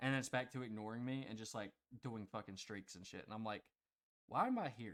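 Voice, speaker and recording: At a fairly quick pace, a man speaks in an ordinary speaking voice, keeping a medium pitch and fairly even intonation. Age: 20s. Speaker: podcast co-host. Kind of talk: casual chat.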